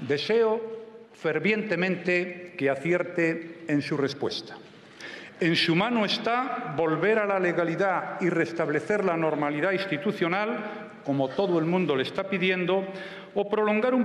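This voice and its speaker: Man at a high pitch, with ordinary pitch variation and very even loudness, plus audible room echo. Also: fairly slow pace. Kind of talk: formal parliamentary speech. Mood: firm, measured. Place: hall. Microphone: podium.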